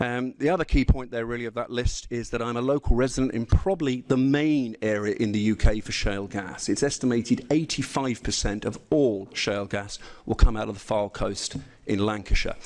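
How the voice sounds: A man speaks at a fairly quick pace with few pauses. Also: medium pitch for a man, ordinary pitch variation, slightly mellow tone.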